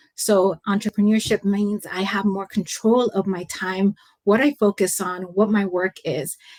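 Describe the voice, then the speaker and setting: In an American accent, a woman speaks at a medium pitch and a fairly slow pace with fairly even intonation. The sound is dry and close, with no echo. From San Francisco Bay Area, California. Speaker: leadership coach and consultant. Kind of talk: interview answer.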